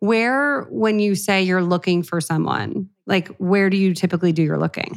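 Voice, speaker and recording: A woman talks at a moderate pace in a normal speaking voice, medium in pitch with ordinary pitch variation and very even loudness. The recording is very clean, with a silent background. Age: 30s. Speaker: podcast host and cookbook author. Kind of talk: casual advice chat. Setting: studio.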